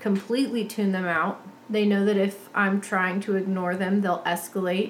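A woman at medium pitch, moderate pace and monotone, flat intonation, with noticeable background noise. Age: 30s. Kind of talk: casual chat.

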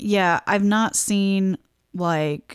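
The speaker is a woman with a medium pitch. Her pitch varies in an ordinary way. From US Midwest. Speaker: podcast co-host. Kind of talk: casual chat. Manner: quiet.

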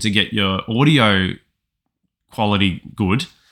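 A man's fairly low voice with a bright, sharp tone, on a very clean recording with a silent background. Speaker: podcast host and writer. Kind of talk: casual chat.

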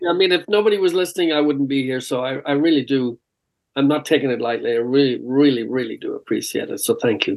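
With an Irish accent, a man speaks at a very fast pace. His pitch is fairly high, with ordinary pitch variation. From Ireland. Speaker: rock singer. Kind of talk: casual interview. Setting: remote call.

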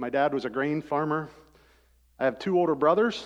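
A man's fairly high voice in a Midwestern American accent, at a moderate pace with ordinary pitch variation. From US Midwest (rural Ohio). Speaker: former pro football player and engineer. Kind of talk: testimony. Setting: church service.

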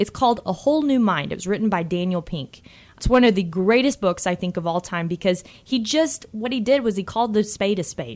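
Lively in intonation, a woman with medium pitch talks at a fairly quick pace with hardly any pauses. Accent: Texan. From Texas. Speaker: financial advisor. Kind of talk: radio talk show.

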